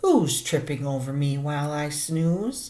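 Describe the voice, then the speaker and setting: A woman uses a put-on character voice, rumbling at a very deep, low pitch. She speaks at a fairly slow pace. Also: fairly even intonation. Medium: read story. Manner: slow, kindly.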